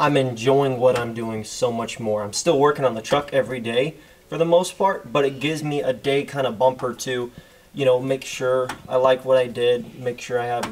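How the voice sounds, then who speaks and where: With light background noise, a man talks at a moderate pace with fairly even intonation. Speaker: diesel truck vlogger. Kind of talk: casual vlog chat. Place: garage. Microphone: phone near.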